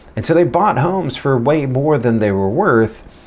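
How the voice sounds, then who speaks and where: A man's pitch swings very widely over noticeable background noise. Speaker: real estate agent. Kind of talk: casual vlog advice.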